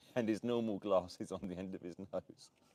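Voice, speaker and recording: A man with an Essex accent speaks at a moderate pace in a fairly low pitch. His tone is dark and mellow, with a dry, close sound and no echo. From southern England, Essex. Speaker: vlogger. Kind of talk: live stream casual chat. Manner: animated.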